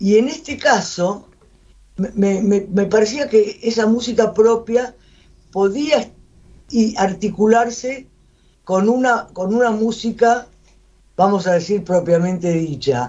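This woman talks at a very slow pace. Her speech has long, frequent pauses. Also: ordinary pitch variation. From Buenos Aires. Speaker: writer and poet. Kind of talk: radio interview.

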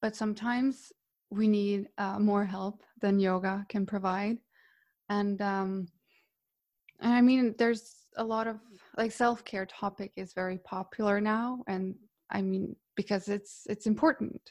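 Fairly slow, flat, monotone speech in a Croatian accent, broken by long, frequent pauses, on a very clean recording with a silent background. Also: woman, medium pitch for a woman. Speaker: yoga teacher. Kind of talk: casual interview chat.

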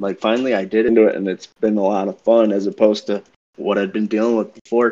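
In an American accent, a man speaks with a fairly low pitch and a dark, mellow tone, his intonation monotone and flat. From Everett, Massachusetts. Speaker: fantasy baseball league member. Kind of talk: casual chat.

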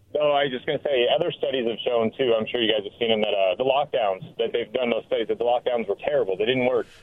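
A man speaks in an angry tone over noticeable background noise. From Washington State, Richland. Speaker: caller. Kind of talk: talk radio call-in. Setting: phone call.

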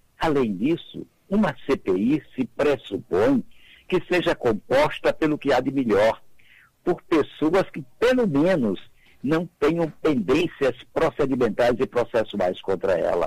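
Vocal fry marks this man's fairly high-pitched voice. He speaks at a very slow pace with very wide pitch swings. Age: 80s+. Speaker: retired federal prosecutor and jurist. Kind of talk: radio interview. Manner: emphatic.

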